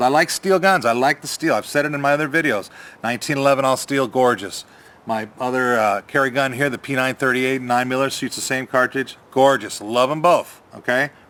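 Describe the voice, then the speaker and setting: Speaking at a very fast pace, a man has an animated, bright, sharp tone, medium pitch and ordinary pitch variation. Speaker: gun reviewer, YouTuber. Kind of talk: product review. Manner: casual, animated.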